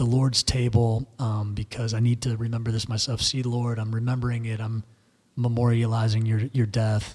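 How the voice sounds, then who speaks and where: A man is speaking. His voice is somewhat breathy. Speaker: podcast co-host discussing theology. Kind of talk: casual theological discussion. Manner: halting, many fillers.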